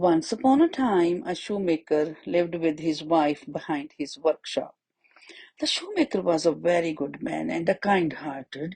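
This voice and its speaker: With a normal speaking voice, a woman talks at a moderate pace in a fairly low pitch, her intonation lively. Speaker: storyteller for children. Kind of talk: children's story narration.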